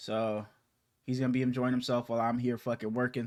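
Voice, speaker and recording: In a quiet background, a man with a medium pitch rattles along at a very fast pace in monotone, flat intonation. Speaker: sports podcast host. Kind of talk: casual chat. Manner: stuttering, halting.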